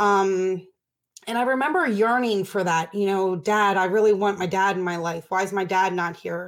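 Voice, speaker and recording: In an American accent, a normal speaking voice moves at a moderate pace with ordinary pitch variation. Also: woman, medium pitch for a woman. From Baltimore, Maryland, US. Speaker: addiction recovery nonprofit director. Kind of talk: interview, personal recovery story.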